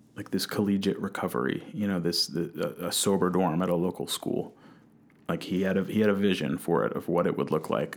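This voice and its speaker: Vocal fry runs through speech delivered at a fairly quick pace with ordinary pitch variation. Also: man. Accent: American. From New Jersey. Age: 20s. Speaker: college student and recovery specialist. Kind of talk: interview testimony.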